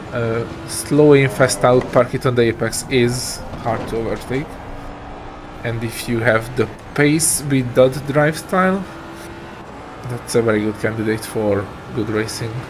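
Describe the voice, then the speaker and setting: A man's fairly slow speech with long, frequent pauses against noticeable background noise. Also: medium pitch for a man, ordinary pitch variation. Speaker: sim racing streamer. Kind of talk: live stream commentary.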